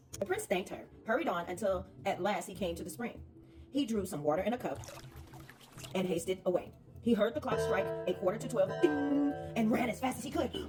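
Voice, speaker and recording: A woman talking at a fairly quick pace over music in the background. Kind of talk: children's storybook read-aloud. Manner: lively, expressive.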